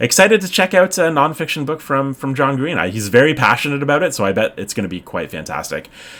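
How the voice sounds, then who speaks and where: A man with a Canadian accent talks at a very fast pace, his pitch swinging very widely, over noticeable background noise. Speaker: book video creator. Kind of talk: casual vlog chat. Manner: hesitant, many fillers.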